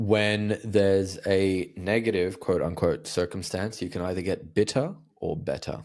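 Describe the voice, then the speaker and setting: Fairly slow, fairly low-pitched male speech with fairly even intonation and hardly any pauses, on a very clean recording with a silent background. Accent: Australian. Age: 30s. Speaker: communication coach. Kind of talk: interview conversation.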